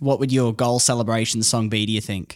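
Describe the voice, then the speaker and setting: Over a silent background, a very clean recording captures a man with an Australian accent at a medium pitch. He talks at a very fast pace with fairly even intonation. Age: 20s. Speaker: podcast host and radio announcer. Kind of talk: casual chat. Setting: studio.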